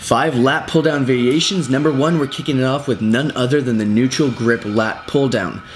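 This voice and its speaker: Over noticeable background noise, a man of medium pitch talks with hardly any pauses, very even loudness, and ordinary pitch variation. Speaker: fitness trainer. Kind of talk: tutorial. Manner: fast.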